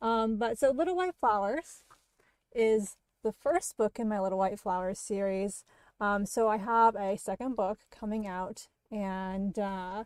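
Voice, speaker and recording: A woman with an American accent uses an unremarkable speaking voice, medium in pitch with ordinary variation, at a fairly slow pace. The recording is very clean, with a silent background and a dry, close sound with no echo. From Maine, US. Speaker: horror fiction writer. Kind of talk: casual livestream chat. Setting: livestream.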